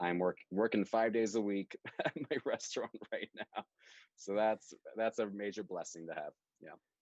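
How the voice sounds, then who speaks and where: A man with an American accent and a fairly low pitch speaks at a moderate pace, with ordinary pitch variation and long, frequent pauses. The sound is dry and close, with no echo. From New York City. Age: 20s. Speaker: actor. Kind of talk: casual chat. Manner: animated.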